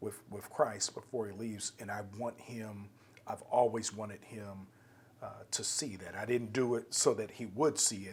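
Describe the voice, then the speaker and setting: Using a normal speaking voice, the speaker goes at a moderate pace with fairly even intonation and big swings in loudness. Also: man, fairly low pitch for a man. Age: 50s. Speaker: podcast host. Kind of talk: interview conversation.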